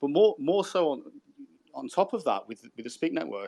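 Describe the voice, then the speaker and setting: A man speaks fairly quickly in a Brummie accent. His tone is dark and mellow. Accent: Brummie (Birmingham English). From Birmingham, England. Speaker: crypto podcast co-host. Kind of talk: casual chat. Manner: halting, repeats words.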